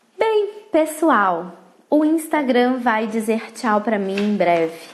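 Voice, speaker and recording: Very slowly, a woman speaks with very wide pitch swings over noticeable background noise. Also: fairly high pitch for a woman. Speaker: parenting educator and mentor. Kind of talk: live stream talk. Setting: Instagram live.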